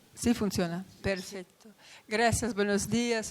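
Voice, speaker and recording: Here a woman is speaking. Her pace is fairly slow. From Poland. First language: Polish and Italian (speaking Spanish). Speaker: lecturer on memorial sites. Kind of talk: conference talk. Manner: halting.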